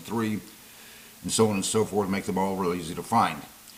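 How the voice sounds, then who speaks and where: A man rushes along at a very fast pace with fairly low pitch and fairly even intonation, over noticeable background noise. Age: 60s. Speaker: YouTube commentator and investing teacher. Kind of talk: monologue to camera.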